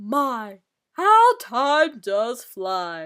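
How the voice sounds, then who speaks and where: A female-sounding voice performs a put-on character voice at a high pitch. The recording is very clean, with a silent background. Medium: read story. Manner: jocular, patronizing.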